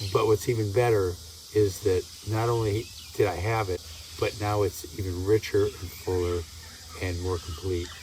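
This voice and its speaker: Somewhat breathy and fairly low-pitched, a man speaks at a moderate pace with fairly even intonation and long, frequent pauses. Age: 70s. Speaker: retreat participant. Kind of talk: testimonial interview.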